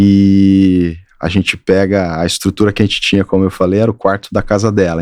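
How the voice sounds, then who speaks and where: A man talks at a fairly quick pace in a rural Minas Gerais accent, his intonation monotone and flat. The recording is very clean with a silent background, dry and close with no echo. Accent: Minas Gerais countryside. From Brazil, Triângulo Mineiro, Minas Gerais. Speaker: architect. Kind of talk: interview.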